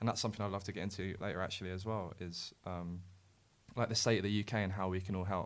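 A man with a very deep, low pitch talks at a very fast pace in a monotone, flat intonation. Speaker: YouTuber. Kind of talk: casual interview chat.

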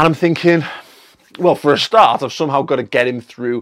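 A man with an English accent speaks very fast. His tone is animated, with ordinary pitch variation. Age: 30s. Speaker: film reviewer. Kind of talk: video review monologue. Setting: studio.

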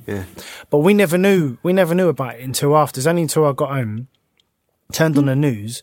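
The speaker talks at a very fast pace with long, frequent pauses and lively intonation. The recording is very clean, with a silent background. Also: man, fairly high pitch for a man. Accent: South London. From south London, Croydon. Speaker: former footballer and pro boxer. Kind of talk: casual chat.

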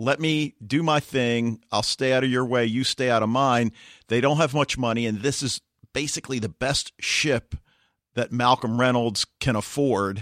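A man with a plain, everyday voice speaks at a moderate pace and medium pitch, his intonation fairly even, in a dry, close recording with no echo that is very clean against a silent background. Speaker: podcast co-host. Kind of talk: casual chat.

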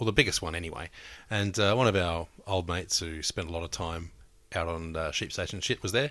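A man's very deep, low pitch comes with a bright, sharp tone. He moves at a fairly quick pace with ordinary pitch variation. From regional Australia. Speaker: podcast co-host. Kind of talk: casual chat. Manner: hesitant, joking.

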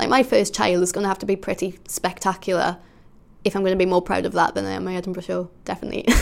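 A woman talks at a very fast pace with vocal fry. Her pitch sits in the medium range, with fairly even intonation. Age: 20s. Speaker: comedian. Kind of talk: interview answers, casual reflection.

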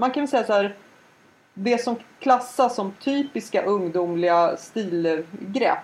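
This is a normal speaking voice. It moves along at a fairly slow pace. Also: woman, fairly high pitch for a woman, lively intonation. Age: 40s. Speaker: podcast co-host. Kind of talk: casual chat.

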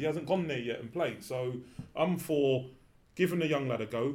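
In a room with audible echo, a somewhat breathy man with a fairly high pitch speaks at a fairly quick pace with ordinary pitch variation. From England. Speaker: former cricketer. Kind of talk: casual chat. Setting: studio.

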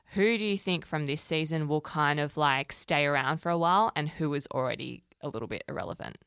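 Recorded very cleanly against a silent background, with a dry, close sound and no echo, a woman with a very deep, low voice talks at a fairly quick pace, with ordinary pitch variation and hardly any pauses. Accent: Australian. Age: 20s. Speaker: podcast co-host, entertainment journalist. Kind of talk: casual chat.

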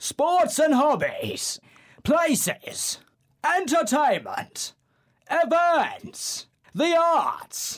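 In a put-on character voice, a man speaks at an extremely high pitch and a very slow pace, leaving long, frequent pauses. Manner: dramatic, announcing.

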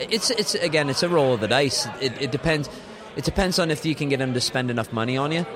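A man rattles along at a very fast pace with ordinary pitch variation, noticeable background noise behind him. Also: fairly high pitch for a man. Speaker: rock musician. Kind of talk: casual interview.

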